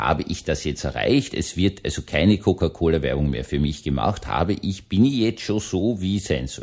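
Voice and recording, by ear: Speaking low for a man, he has a dark, mellow tone and lively intonation.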